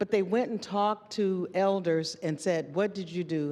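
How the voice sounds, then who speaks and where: A woman with an American accent speaks at a medium pitch, with an ordinary speaking voice. Her intonation is lively. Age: 60s. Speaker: university administrator and panelist. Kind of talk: panel discussion.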